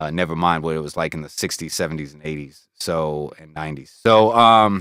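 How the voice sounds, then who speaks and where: A man with an American accent, very deep and low in pitch, bright and sharp in tone, relaxed, at a fairly quick pace with ordinary pitch variation, on a very clean recording with a silent background. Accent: American accent kept after years in UK. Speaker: music producer and streamer. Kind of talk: casual chat, studio tour livestream. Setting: home studio, livestream. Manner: relaxed, casual with many fillers.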